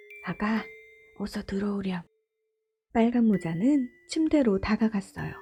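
Pausing long and often, a woman speaks at a fairly slow pace and fairly high pitch with ordinary pitch variation. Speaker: mother and storybook narrator. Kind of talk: gentle storytelling narration. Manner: whispered, soft-spoken.

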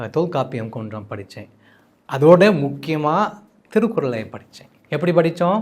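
A man with an English accent speaks at a fairly high pitch. His pitch swings very widely. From United States. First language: English (speaking Tamil). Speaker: translator and Tamil scholar. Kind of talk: interview. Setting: studio. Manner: halting.

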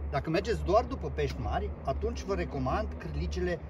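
The intonation is flat and monotone, with noticeable background noise behind it. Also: man. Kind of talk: tutorial. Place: boat. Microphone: camera far.

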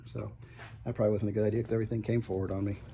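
The voice has a dark, mellow tone with vocal fry and ordinary pitch variation, over light background noise. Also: man. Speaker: music YouTuber reviewing vinyl releases. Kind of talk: casual product walkthrough. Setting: in a record store. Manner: halting, many fillers. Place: shop.

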